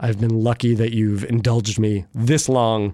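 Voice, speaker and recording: A plain, everyday voice, a man with fairly low pitch and fairly even intonation, in a very clean recording with a silent background. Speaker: podcast host. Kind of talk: moderated roundtable conversation.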